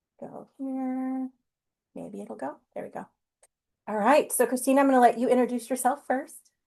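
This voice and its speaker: A woman with a high, dark, mellow voice speaks in a monotone, flat intonation. Her loudness swings widely, and she leaves long, frequent pauses. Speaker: nurse practitioner. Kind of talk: webinar presentation. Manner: fast; informal.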